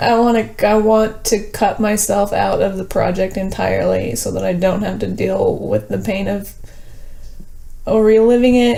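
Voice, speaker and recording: Amid audible room echo and noticeable background noise, the woman talks fairly slowly. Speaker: documentary subject. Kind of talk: emotional argument. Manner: halting.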